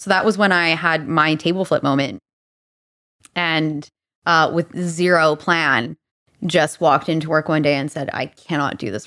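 A woman speaks at a moderate pace with a very deep, low pitch and a slight Albertan accent. Her tone is bright and sharp, her pitch varies in an ordinary way, and the background is quiet. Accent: slight Alberta Canadian. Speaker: leadership coach. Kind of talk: casual chat.

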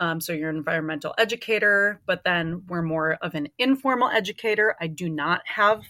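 A woman with an Upper Midwest accent, her bright, sharp tone nearly unbroken by pauses, in a dry, close recording with no echo and a silent, very clean background. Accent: Upper Midwest American. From Minnesota. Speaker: interpretive naturalist. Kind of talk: casual interview.

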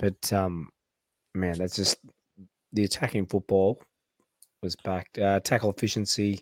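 A man speaks at a fairly low pitch with an Australian accent. The recording is very clean and silent behind him, with long, frequent pauses. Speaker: podcast host. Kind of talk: casual chat.

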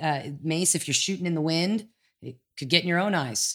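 A woman with a plain, everyday voice speaks at a moderate pace in a fairly low pitch, with ordinary pitch variation. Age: 50s. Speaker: jiu-jitsu instructor. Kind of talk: casual chat.

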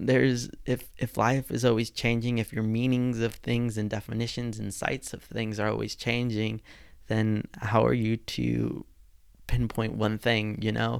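In a medium pitch, a man speaks at a fairly slow pace with monotone, flat intonation. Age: 20s. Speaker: podcast host. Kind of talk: solo podcast monologue.

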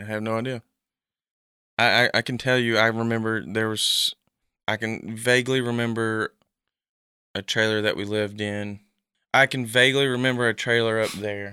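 With a bright, sharp tone and monotone, flat intonation, this voice moves at a moderate pace with long, frequent pauses on a very clean recording with a silent background. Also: man, medium pitch for a man. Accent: East Tennessee. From Tennessee, Knoxville area. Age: 20s. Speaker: adopted son. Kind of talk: personal testimony interview.

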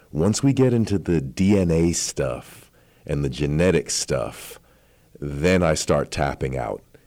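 With a very deep, low pitch and a dark, mellow tone, a man speaks at a very slow pace. His intonation is lively. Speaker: radio host. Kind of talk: interview, friendly conversation.

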